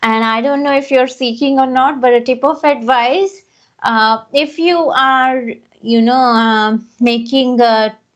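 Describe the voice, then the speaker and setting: A woman's high-pitched voice at a fairly slow pace, with ordinary pitch variation and very even loudness. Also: quiet background. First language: not English. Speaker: English teacher. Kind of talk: casual chat.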